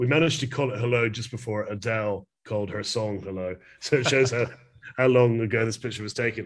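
A man at a fairly quick pace with a Glasgow accent, against a quiet background. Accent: Scottish (Glasgow). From Scotland, Glasgow. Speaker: fine art photographer. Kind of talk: interview conversation. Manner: halting with fillers.

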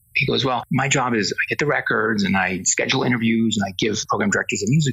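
Noticeable background noise fills the recording. Through it, a man speaks very fast. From Spain. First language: Spanish. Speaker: entertainment industry executive. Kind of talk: interview.

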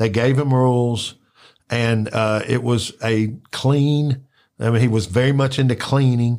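Spoken at a fairly slow pace with a Memphis accent, the voice keeps a fairly even intonation on a very clean recording with a silent background. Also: man. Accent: Memphis Southern US. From Memphis, Tennessee (Orange Mound). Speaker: wrestling podcaster. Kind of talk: casual chat.

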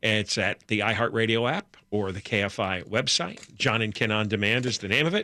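The recording is very clean, with a silent background. A man speaks in a fairly low pitch with a bright, sharp tone and ordinary pitch variation. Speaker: talk radio co-host. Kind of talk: talk radio chat. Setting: radio studio. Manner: fast.

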